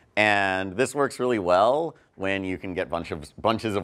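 A man speaks in an ordinary speaking voice at a fairly low pitch and fairly slow pace. The background is quiet. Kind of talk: lecture. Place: meeting room.

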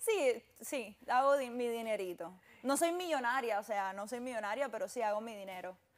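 Her pace stays moderate. The woman's intonation is lively. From Cuba. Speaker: fashion model; guest. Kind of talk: interview. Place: studio. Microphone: lapel.

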